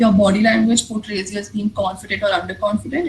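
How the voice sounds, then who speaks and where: The speaker talks at a fairly quick pace. Background noise can be noticeably heard. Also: woman. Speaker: public speaking workshop speaker. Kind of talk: workshop talk with Q&A.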